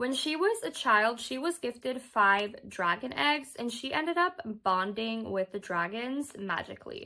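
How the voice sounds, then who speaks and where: A high-pitched woman at a fairly slow pace with hardly any pauses and very wide pitch swings, amid noticeable background noise. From Norway. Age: 20s. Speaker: book reviewer. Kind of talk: casual book recommendation talk to camera.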